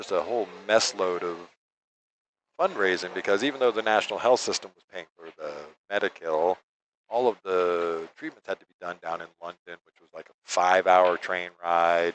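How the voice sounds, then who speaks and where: A man's very deep, low voice with an American accent at a moderate pace. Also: ordinary pitch variation, big swings in loudness. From New York. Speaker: pool commentator. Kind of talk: live commentary with casual chat. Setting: live stream at a pool hall.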